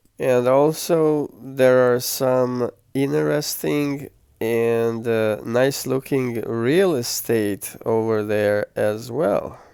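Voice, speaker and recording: Speaking very slowly with a non-native accent, a man has a relaxed, dark, mellow tone and ordinary pitch variation. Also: medium pitch for a man. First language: not English. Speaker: travel vlogger. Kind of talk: travel vlog narration. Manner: relaxed, with hesitations.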